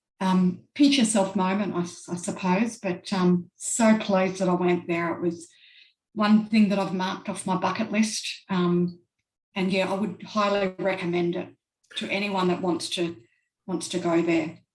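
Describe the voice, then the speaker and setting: This woman has an Australian accent and a medium-pitched, somewhat breathy voice. Her intonation stays fairly even. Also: moderate pace. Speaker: traveler. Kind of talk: casual interview. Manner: hesitant, many fillers.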